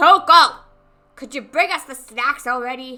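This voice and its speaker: A woman's put-on character voice, guttural and high-pitched, with ordinary pitch variation and faint music in the background. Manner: demanding, unpleasant.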